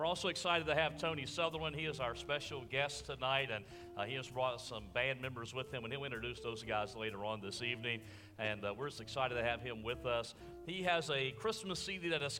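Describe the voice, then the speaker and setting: At a fairly quick pace, a man speaks with ordinary pitch variation amid noticeable background noise. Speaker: church service host. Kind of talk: announcements and prayer. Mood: warm, upbeat, then reverent. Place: church.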